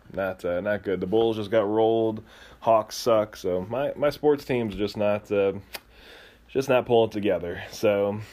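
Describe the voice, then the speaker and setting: A man's fairly low, dark and mellow voice in an American accent, with fairly even intonation and a fairly slow pace. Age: 30s. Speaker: podcast host. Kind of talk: casual chat.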